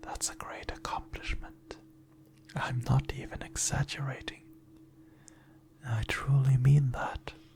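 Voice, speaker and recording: Whispering in a gentle tone, a man speaks at a fairly slow pace with long, frequent pauses. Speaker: ASMR performer. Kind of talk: positive affirmations. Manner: soft-spoken, gentle, reassuring.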